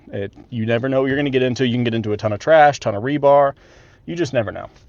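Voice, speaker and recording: A man talks with an American accent. His pitch variation is ordinary. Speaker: land clearing contractor. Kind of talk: on-site tutorial vlog. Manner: fast; casual, filler-heavy.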